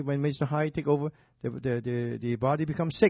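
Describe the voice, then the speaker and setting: A man's fairly high voice comes across as somewhat breathy, with fairly even intonation. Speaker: doctor, radio show host. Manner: explanatory, halting grammar.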